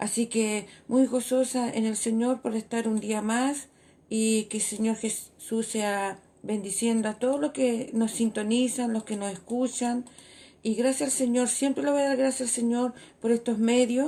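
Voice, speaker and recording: A fairly high-pitched woman's voice with a dark, mellow tone, fairly slow and fairly even in intonation, on a very clean recording with a silent background. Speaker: church women's radio host. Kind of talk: sermon. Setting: church radio broadcast. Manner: stutter.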